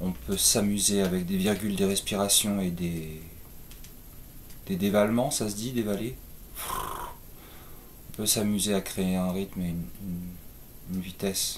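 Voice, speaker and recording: Audible room echo surrounds a man speaking at a very slow pace. His pitch is fairly low, with ordinary pitch variation. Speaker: poet and YouTuber. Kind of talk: casual chat. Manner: hesitant with fillers.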